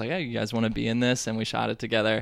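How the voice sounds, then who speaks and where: A man's medium-pitched voice with vocal fry, a very fast pace and fairly even intonation. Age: 20s. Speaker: comedian. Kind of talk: casual interview chat.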